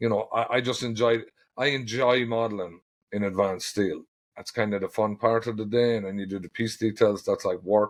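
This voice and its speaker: A man with an Irish accent speaks at a fairly quick pace in a medium pitch, his intonation fairly even, against a quiet background. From Ireland. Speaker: ironworker foreman and steel detailer. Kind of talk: podcast interview. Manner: casual, hesitant with fillers.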